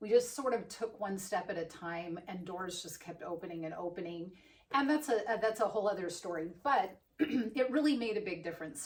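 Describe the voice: A woman puts on a hoarse character voice at a medium pitch, with lively intonation and big swings in loudness. Her pace is moderate.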